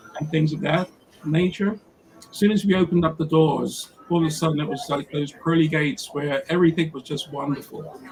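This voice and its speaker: Over noticeable background noise, a man with an American accent talks at a fairly quick pace with a fairly high pitch and fairly even intonation. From England, South London. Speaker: photographer. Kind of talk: interview.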